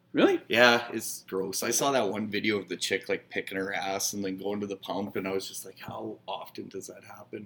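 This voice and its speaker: Speaking with a Canadian Prairies accent, a man uses a fairly low pitch, a bright, sharp tone and fairly even intonation. He goes at a fairly quick pace with hardly any pauses and big swings in loudness. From northern Saskatchewan, Canada. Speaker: bar manager. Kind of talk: casual chat.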